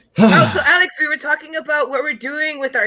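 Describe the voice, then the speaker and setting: The speaker has an American accent and moves at a fairly quick pace. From California. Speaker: podcast co-host. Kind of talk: casual chat.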